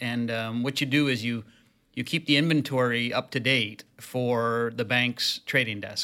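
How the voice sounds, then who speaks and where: Speaking slowly with a Canadian accent, the voice has a bright, sharp tone and fairly even intonation. The recording is very clean, with a silent background. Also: man, medium pitch for a man. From Canada, Toronto. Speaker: investment manager. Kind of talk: interview.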